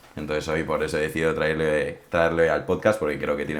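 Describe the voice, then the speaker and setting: With audible room echo around him, a man with a very deep, low pitch talks at a very fast pace and fairly even intonation. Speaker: podcast host. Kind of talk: casual chat.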